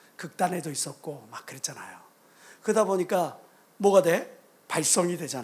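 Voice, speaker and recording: A man talks in an animated tone at a moderate pace. He has a Jeolla accent. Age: middle-aged. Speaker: pastor. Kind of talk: sermon.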